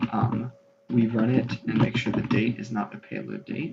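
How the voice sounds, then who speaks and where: A man whispers at a moderate pace. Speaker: computer virus video host. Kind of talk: screen-capture tech demo narration. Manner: whispered.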